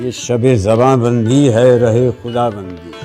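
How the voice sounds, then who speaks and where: A man is speaking. Music plays in the background. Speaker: poetry reciter. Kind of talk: poetry reading. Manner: emotive.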